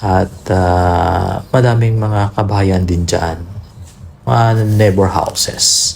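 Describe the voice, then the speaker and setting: A man speaks at a very slow pace in a very deep, low voice, his loudness very even and his intonation fairly even, with noticeable background noise. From Philippines, rural village. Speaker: vlogger. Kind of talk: casual vlog narration.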